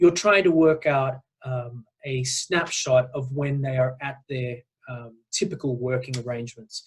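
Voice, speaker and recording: A somewhat breathy man with an Australian accent, a fairly high pitch, ordinary pitch variation and a fairly slow pace. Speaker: nonprofit executive director. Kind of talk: webinar presentation. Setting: online call. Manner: hesitant, many fillers.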